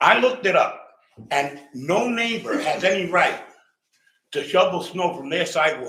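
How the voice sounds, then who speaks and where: Lively intonation in a New York accent, with audible room echo. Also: man. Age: 60s. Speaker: resident speaking at public comment. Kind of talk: public comment complaint. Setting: council meeting. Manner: animated.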